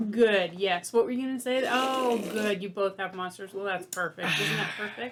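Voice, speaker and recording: Speech moves at a moderate pace with hardly any pauses and ordinary pitch variation. Noticeable background noise sits under it. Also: woman, medium pitch for a woman. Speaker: firefighter podcast co-host. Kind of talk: casual chat. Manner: trails off in volume when rambling.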